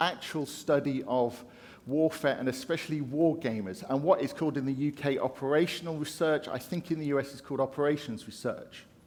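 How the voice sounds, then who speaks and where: A man with a British accent speaks at a fairly quick pace and a fairly high pitch. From UK. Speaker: conference speaker. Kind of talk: keynote talk. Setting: stage with audience.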